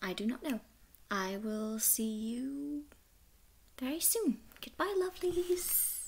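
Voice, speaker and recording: Speaking quietly at a very slow pace, a woman uses a high voice with very wide pitch swings and long, frequent pauses. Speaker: vlogger. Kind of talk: casual talk to camera. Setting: night, shared house. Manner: whispered. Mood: warm, cheerful. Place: home room. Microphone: webcam.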